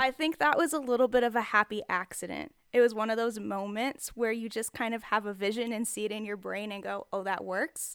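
A woman with an American accent speaks in an unremarkable speaking voice at a fairly high pitch, with ordinary pitch variation and hardly any pauses. The sound is dry and close with no echo, on a very clean recording with a silent background. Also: fairly quick pace. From Texas. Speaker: street artist and writer. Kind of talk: casual interview chat. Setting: home studio in the desert.

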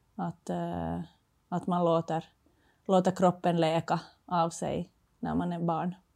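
Speaking very slowly with long, frequent pauses, a woman is heard in a very clean recording with a silent background. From Finland. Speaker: former floorball player, entrepreneur. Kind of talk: casual interview.

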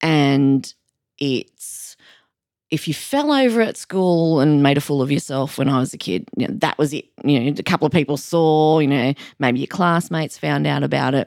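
Speaking with an Australian accent, a woman uses a very deep, low voice at a moderate pace with ordinary pitch variation. The sound is dry and close, with no echo. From New South Wales, Australia (Sydney). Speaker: counsellor. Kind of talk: casual interview chat.

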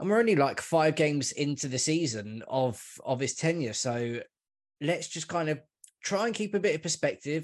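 Over a quiet background, a man with a London accent speaks at a moderate pace in a fairly high voice with lively intonation. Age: 40s. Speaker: football podcaster. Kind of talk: casual chat.

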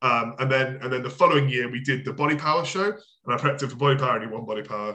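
Speaking very fast in a British accent, a man has a medium pitch, ordinary pitch variation and a bright, sharp tone. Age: 20s. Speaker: bodybuilding coach. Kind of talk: casual chat. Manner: halting.

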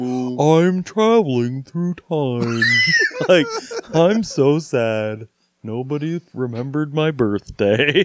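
A man uses a put-on character voice at a fairly high pitch. He talks at a very slow pace.

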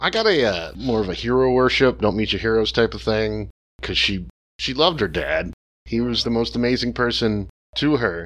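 Moderate pace and medium pitch from a man with a plain, everyday voice, his pitch varying in an ordinary way. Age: 40s. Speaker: film podcast guest. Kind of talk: casual chat.

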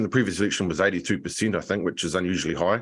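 A man speaks with a New Zealand accent. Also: very clean recording, silent background. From New Zealand, Nelson. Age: 40s. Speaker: political commentator and publisher. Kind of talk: radio interview.

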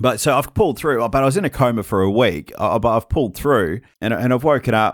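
Someone with an Australian accent speaks at a very fast pace with lively intonation and very even loudness. The recording is very clean, with a silent background. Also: man, medium pitch for a man. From Western Australia (Perth). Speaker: pastor and author, former addict. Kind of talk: interview testimony. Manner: halting, with many fillers.

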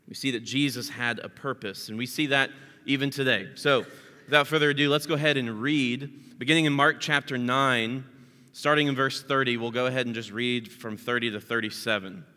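At a fairly quick pace, a man talks in a normal speaking voice, medium in pitch, with fairly even intonation. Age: 30s. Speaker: pastor. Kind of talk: sermon.

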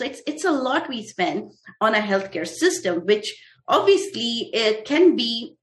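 A woman speaks with an Indian accent at a fairly slow pace. Her pitch swings very widely. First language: Hindi. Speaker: physician and startup founder. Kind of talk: interview. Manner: halting.

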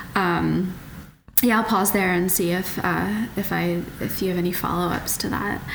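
A woman with an American accent, medium pitch and monotone, flat intonation at a moderate pace, with audible room echo and noticeable background noise. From West Virginia, US. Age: 30s. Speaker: dietitian and professional trail runner. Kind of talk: casual interview.

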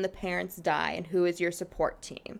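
This is a normal speaking voice with an American accent. The pace is fairly quick. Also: woman. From Chicago south suburbs, US Midwest. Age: 20s. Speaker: church youth group leader. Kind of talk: casual interview chat.

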